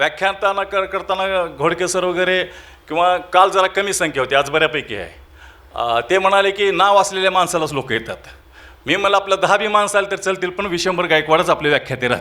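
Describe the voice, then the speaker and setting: A man with a high pitch projects a raised voice in a bright, sharp tone. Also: ordinary pitch variation. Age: 50s. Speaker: event organizer and college lecturer. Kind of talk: presidential closing speech. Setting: auditorium with audience.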